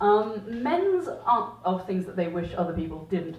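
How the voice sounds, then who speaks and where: Speaking at a moderate pace, the woman has a normal speaking voice and lively intonation. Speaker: performance poet. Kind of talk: casual talk to live audience. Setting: small pub with live audience. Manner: conversational.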